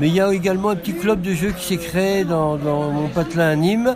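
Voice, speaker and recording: A man talks at a fairly slow pace with ordinary pitch variation. The recording has noticeable background noise and audible room echo. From France, Lyon. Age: old. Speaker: retired game designer and author. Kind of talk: casual interview. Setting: festival stand. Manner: halting.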